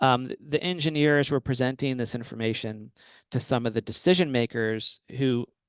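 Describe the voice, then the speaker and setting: In a plain, everyday voice, a man speaks at a medium pitch and a moderate pace. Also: quiet background. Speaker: urban planner presenting a webinar. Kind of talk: webinar presentation. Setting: webinar.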